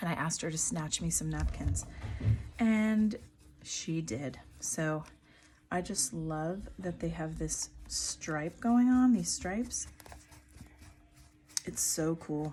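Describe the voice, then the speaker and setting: Soft-spoken and very slow, this voice leaves long, frequent pauses while music plays in the background. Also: woman. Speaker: craft YouTuber. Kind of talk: tutorial.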